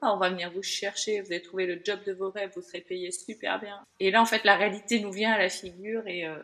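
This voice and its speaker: Over noticeable background noise, a woman talks at a fairly quick pace and medium pitch with hardly any pauses. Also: big swings in loudness. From France, Bordeaux. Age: 40s. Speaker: podcast guest sharing burnout story. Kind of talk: interview, personal testimony. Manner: hesitant, many fillers.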